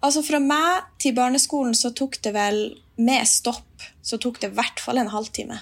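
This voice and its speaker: Her delivery is fairly slow, and this woman's voice sits high in pitch. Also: ordinary pitch variation. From Finnmark, northern Norway. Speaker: musician. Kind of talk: casual chat. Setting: remote recording.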